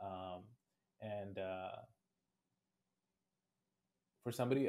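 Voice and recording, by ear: A man speaks with a dark, mellow tone. His pitch is fairly low.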